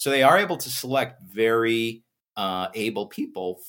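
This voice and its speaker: At a moderate pace, a man with an ordinary speaking voice, medium pitch and ordinary pitch variation comes through on a very clean recording with a silent background. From United States. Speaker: physics professor and tech entrepreneur. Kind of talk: interview.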